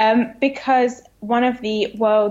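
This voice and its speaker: A woman speaks with a British accent. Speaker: comedy writer. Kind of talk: casual chat. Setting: phone call.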